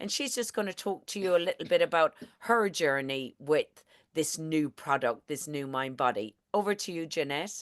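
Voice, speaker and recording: A woman with a strong Irish accent speaks at a moderate pace with a very deep, low pitch. Her intonation is lively, and the background is quiet. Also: dry, close sound with no echo. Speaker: network marketing presenter. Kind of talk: online presentation. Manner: animated.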